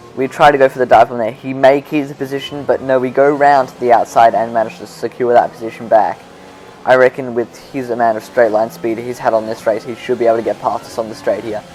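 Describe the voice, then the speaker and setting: A man with an Australian accent at a very fast pace, medium pitch and fairly even intonation, with big swings in loudness and music in the background. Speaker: gaming YouTuber. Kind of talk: gameplay commentary. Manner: casual, self-correcting.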